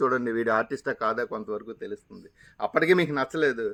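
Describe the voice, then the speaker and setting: A man's voice with ordinary pitch variation. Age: 50s. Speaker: retiring stage actor and video creator. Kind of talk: monologue to camera. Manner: dramatic, theatrical delivery.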